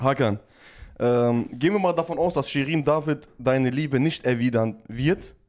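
The speech moves at a moderate pace with ordinary pitch variation against a quiet background. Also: man. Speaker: streamer running prank calls. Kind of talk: casual chat on a live stream. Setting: live stream. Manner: animated, laughs often. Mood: joking, playful. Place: studio. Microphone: studio mic.

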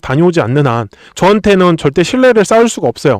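At a fairly quick pace, a man with a high pitch speaks with very wide pitch swings in a dry, close sound with no echo. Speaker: stock market YouTuber. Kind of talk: stock analysis monologue. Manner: animated, talks directly to viewers.

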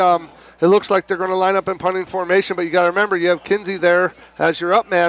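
Very fast speech comes through a dry, close sound with no echo and noticeable background noise. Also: man. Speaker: color analyst. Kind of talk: live commentary.

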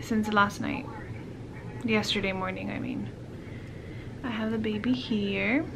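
Here a woman talks at a fairly slow pace. Noticeable background noise is present. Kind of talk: casual vlog chat. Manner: sleepy, worn-out, low drowsy voice. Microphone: phone near.

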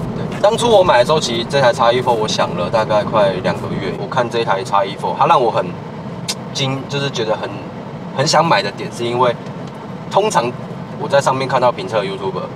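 A man talks fairly quickly while clearly audible noise runs behind him. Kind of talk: casual conversation answer. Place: car. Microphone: phone near.

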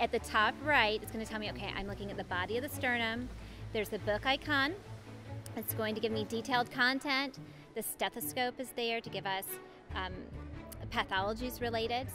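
A woman speaks at a fairly quick pace over clear background music. The sound is dry, with no echo. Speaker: app demonstrator. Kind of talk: tutorial. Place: hall. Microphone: handheld.

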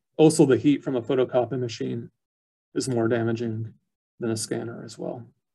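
In a somewhat breathy, dark, mellow tone, a man speaks at a moderate pace with fairly even intonation, long, frequent pauses, and big swings in loudness. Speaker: archivist; presenter. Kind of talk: educational webinar presentation. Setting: video call. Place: office. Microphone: webcam.

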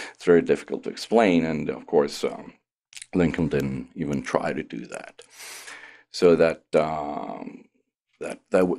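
A man speaks at a fairly slow pace, leaving long, frequent pauses, with big swings in loudness. The background is quiet. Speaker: professor being interviewed. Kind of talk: interview answer. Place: studio. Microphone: studio mic.

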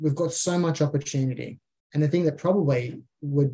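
A man's somewhat breathy, fairly high voice in an Australian accent, with ordinary pitch variation and a moderate pace. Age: 30s. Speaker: small business owner. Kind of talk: casual interview chat.

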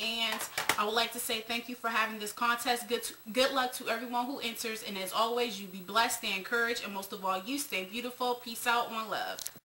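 A woman talking at a fairly quick pace with hardly any pauses, fairly even intonation and noticeable background noise. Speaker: beauty vlogger. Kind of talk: casual vlog chat. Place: home room. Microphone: webcam.

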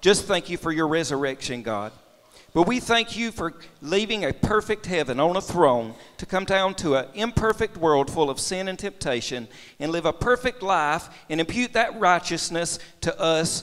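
Over a quiet background, a man talks at a moderate pace in a high voice. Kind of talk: public prayer. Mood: reverent, earnest. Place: church.

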